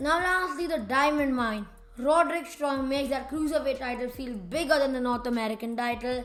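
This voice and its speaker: The delivery has an animated tone with ordinary pitch variation at a moderate pace. Music plays in the background, and room echo is audible. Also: woman. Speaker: wrestling commentator YouTuber. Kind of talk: casual opinion monologue. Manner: loud, yelling at times.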